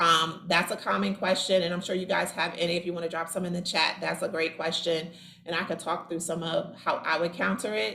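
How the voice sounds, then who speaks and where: A woman speaks at a fairly quick pace with ordinary pitch variation. Her pitch sits fairly low, and it's a normal speaking voice. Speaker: staffing agency owner giving a business training. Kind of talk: online training presentation.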